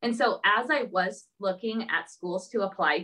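A woman at medium pitch with an American accent. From Southern California. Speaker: elementary school teacher. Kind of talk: interview. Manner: hesitant, many fillers.

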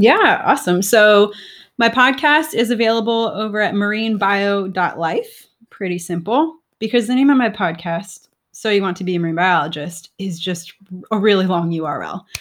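An unremarkable speaking voice from a woman with an American accent, medium in pitch, lively in intonation, at a moderate pace, on a very clean recording with a silent background. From South Florida. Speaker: marine biologist and podcaster. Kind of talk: casual interview chat.

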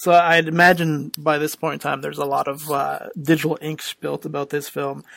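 A man speaks in a normal speaking voice with a Canadian accent. His pitch is fairly high and his pace is moderate. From Canada. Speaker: podcast host. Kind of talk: casual chat.

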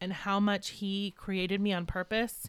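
A woman with a normal speaking voice talks at medium pitch and a fairly slow pace. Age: 30s. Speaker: farmer and mother, podcast guest. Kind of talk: casual chat.

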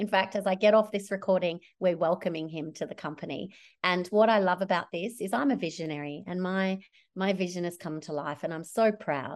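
Against a quiet background, a woman with an Australian accent talks at a fairly quick pace in an animated tone. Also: medium pitch for a woman, ordinary pitch variation. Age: 40s. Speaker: social enterprise founder. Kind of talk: interview.

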